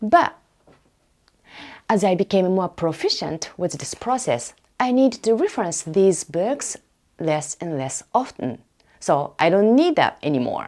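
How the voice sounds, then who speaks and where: A woman at a medium pitch with very wide pitch swings, a fairly slow pace and long, frequent pauses. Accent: non-native. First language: Japanese. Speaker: academic researcher and podcaster. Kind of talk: casual podcast monologue.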